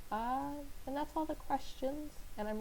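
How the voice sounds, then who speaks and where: A woman speaks with audible echo from the room. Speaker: digital artist. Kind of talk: casual Q&A voiceover. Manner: hesitant, many fillers.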